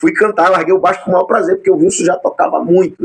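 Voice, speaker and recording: Talking at a very fast pace, a man is recorded with a dry, close sound and no echo. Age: 40s. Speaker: podcast host and bass player. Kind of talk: casual interview. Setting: home studio.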